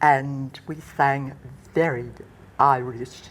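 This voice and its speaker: A woman with an Australian accent speaks at a very deep, low pitch. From Western Australia, Perth. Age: 80s+. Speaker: retired nurse and counsellor. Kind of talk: interview, personal memories.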